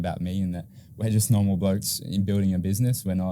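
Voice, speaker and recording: A man with an Australian accent talks very fast in a very deep, low voice, his dark, mellow tone held to a fairly even intonation. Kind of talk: podcast interview.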